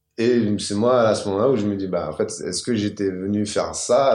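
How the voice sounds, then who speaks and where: Moderate pace and ordinary pitch variation from a man with a fairly low pitch, the room echo audible. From Paris suburbs, Val-de-Marne. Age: 30s. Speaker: comedian and rapper. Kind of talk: casual interview.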